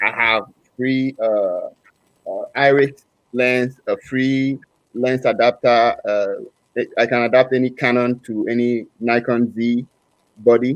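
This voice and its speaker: Pausing long and often, a man speaks at a medium pitch in a flat monotone. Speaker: photography YouTuber. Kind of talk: casual group chat on a livestream. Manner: halting.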